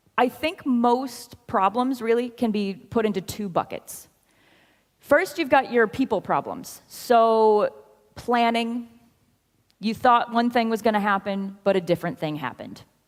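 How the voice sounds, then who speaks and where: The speaker has an American accent and talks at a fairly slow pace. Pitch variation is ordinary. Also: woman, fairly high pitch for a woman. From US Midwest. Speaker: software consultant, conference speaker. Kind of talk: conference talk. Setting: stage with audience.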